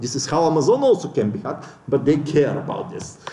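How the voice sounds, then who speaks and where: Noticeable background noise and audible room echo both come through in the recording. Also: man. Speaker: conference speaker. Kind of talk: lecture.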